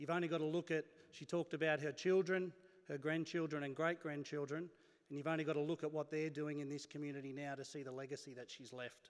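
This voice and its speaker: A very fast, monotone delivery with flat intonation, in an Australian accent. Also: man, fairly high pitch for a man. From Australia, Wellington NSW. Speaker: university executive, event MC. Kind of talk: event MC speech. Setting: stage with audience.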